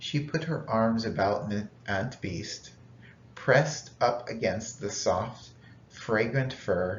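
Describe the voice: Plain, read-aloud delivery, pitch varying in an ordinary way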